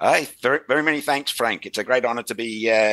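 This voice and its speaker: Dry and close with no echo, a man with an Australian accent talks at a very fast pace in a bright, sharp tone with fairly even intonation. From Western Australia (Perth/Fremantle). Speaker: rail industry consultant. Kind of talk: podcast interview. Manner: halting, many fillers and restarts.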